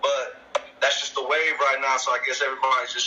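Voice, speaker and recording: A man's quick-ish delivery cuts through clearly noticeable noise behind him. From El Paso, Texas (US–Mexico border). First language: Spanish. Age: 20s. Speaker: rapper. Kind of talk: casual interview. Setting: video call.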